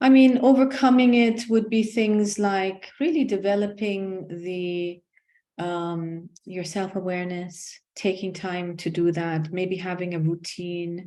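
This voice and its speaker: A woman speaks at a very slow pace, at medium pitch with ordinary pitch variation. Her tone is dark and mellow against a quiet background. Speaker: executive coach. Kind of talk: casual interview.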